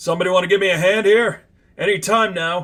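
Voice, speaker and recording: A man does a put-on character voice, raspy and gravelly, pitched high. He talks very fast with fairly even intonation. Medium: read story.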